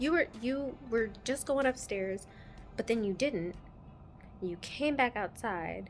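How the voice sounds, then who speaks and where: Over music in the background, a soft-spoken voice with lively intonation moves at a very slow pace, broken by long, frequent pauses. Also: woman, fairly high pitch for a woman. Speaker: travel vlogger. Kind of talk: casual vlog storytelling. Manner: quiet, talking softly; animated.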